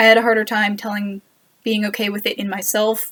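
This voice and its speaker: With an American accent, a woman speaks at a moderate pace and a medium pitch. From United States. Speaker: university student. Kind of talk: casual talk to camera.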